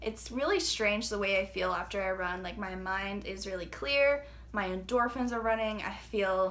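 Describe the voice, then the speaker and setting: Audible room echo surrounds a woman of medium pitch who speaks at a moderate pace with fairly even intonation. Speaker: fitness trainer and vlogger. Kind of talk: casual vlog talk. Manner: hesitant, filler-heavy.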